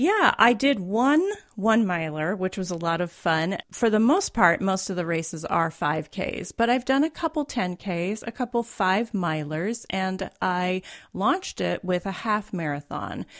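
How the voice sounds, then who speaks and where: A woman speaks slowly-ish, at a fairly slow pace, in an unremarkable speaking voice of medium pitch with lively intonation. The recording is very clean, the background silent. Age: 50s. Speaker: writer and recreational runner. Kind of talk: interview. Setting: studio.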